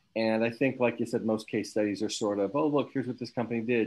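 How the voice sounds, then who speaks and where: A man is talking. His intonation is fairly even. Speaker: university academic hosting the seminar. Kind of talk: academic seminar discussion. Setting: video call. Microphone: video call.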